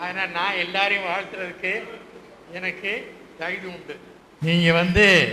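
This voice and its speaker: A man in a raised, projected voice speaks at a high pitch in a monotone, flat delivery amid noticeable background noise. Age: 80s+. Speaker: retired English teacher. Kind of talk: reunion speech to former students. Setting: public hall.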